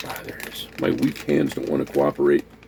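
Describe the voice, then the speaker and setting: Noticeable noise sits behind a man who talks fairly quickly. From US, raised in a Puerto Rican neighborhood. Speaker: food review vlogger. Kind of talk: casual talk to camera, food tasting.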